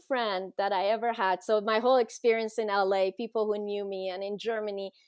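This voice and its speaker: A woman speaks with a Persian accent in a fairly high pitch, hardly pausing at all. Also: quiet background. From Iran. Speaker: teacher. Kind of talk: interview.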